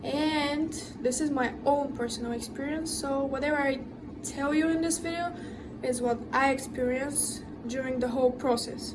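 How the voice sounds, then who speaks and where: Amid audible room echo and noticeable background noise, a woman speaks high-pitched at a moderate pace with fairly even intonation. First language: not English. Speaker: tattoo artist, vlogger. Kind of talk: advice monologue to camera.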